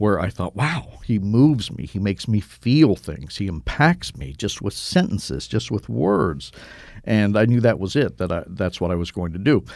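A man with an American accent and a fairly low pitch speaks at a moderate pace, his voice showing vocal fry and very wide pitch swings. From US Midwest (Cincinnati, Ohio). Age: 60s. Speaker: travel writer. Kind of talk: interview conversation.

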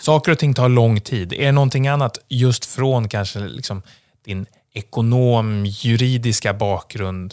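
A plain, everyday voice at a fairly slow pace, with ordinary pitch variation and a very clean recording over a silent background. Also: man, medium pitch for a man. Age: 30s. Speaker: podcast host. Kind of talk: podcast interview.

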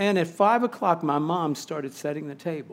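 A man's normal speaking voice at a fairly quick pace with ordinary pitch variation. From Missouri, St. Louis. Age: 50s. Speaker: chaplain and campus ministry barista. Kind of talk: testimony.

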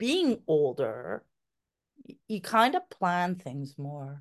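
A woman speaks very slowly, her pitch swinging very widely. The background is quiet. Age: 50s. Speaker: adoptive mother. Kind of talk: casual chat.

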